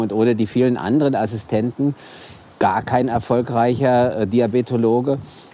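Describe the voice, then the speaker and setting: The speaker has a Hessian accent and keeps to a moderate pace. The intonation stays fairly even. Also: man. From Hesse, Wiesbaden. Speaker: diabetes physician. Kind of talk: casual chat. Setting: outdoors.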